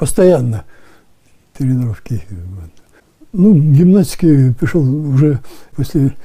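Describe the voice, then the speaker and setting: A man with a dark, mellow, somewhat breathy tone speaks at a very slow pace with long, frequent pauses and very wide pitch swings over a quiet background. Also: fairly high pitch for a man. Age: 80s+. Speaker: retired firefighter. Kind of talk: interview answer. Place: home room. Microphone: lapel.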